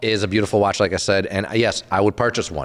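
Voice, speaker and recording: The recording is very clean, and the background is silent. A man speaks fairly quickly. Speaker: watch podcast host. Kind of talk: casual chat. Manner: speech impediment today.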